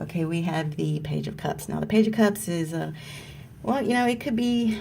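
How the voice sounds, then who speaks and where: Over noticeable background noise, a woman's voice carries audible room echo. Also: moderate pace. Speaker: tarot card reader. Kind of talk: tarot reading video. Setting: at work on lunch break.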